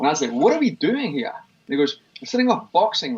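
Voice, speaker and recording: In a Scottish accent, a man talks with very wide pitch swings. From Scotland, Livingston near Glasgow. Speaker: fitness expert and gym owner. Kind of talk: interview conversation.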